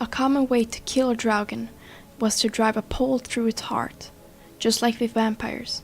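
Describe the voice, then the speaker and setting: With music in the background, a woman in a non-native accent speaks at a fairly high pitch and a fairly slow pace, her intonation monotone and flat. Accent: non-native, some mispronounced words. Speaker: scary story narrator. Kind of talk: folklore narration to camera.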